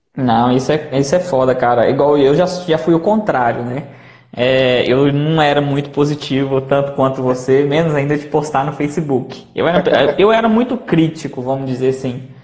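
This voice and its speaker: With music in the background and audible room echo, the speaker moves at a moderate pace with hardly any pauses and ordinary pitch variation. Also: man, fairly high pitch for a man. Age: 20s. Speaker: channel host, entrepreneur. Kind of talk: casual chat on a live stream. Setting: Instagram live.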